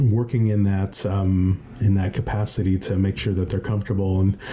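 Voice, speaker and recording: There is noticeable background noise as a man speaks at a fairly low pitch with monotone, flat intonation. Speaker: podcast host. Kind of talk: interview question.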